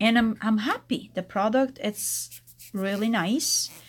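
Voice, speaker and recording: In an Italian accent, a woman speaks at a fairly slow pace. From Italy. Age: 40s. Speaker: nail technician. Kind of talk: tutorial. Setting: live stream.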